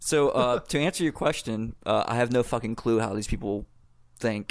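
A man talks at a moderate pace. His pitch sits in the medium range and varies in an ordinary way. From US South, South Carolina. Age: 30s. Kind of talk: casual chat. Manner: halting.

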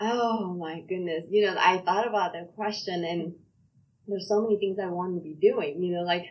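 A medium-pitched woman at a moderate pace, with big swings in loudness. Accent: Korean. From South Korea. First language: Korean. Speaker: pastor and police chaplain. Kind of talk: interview conversation.

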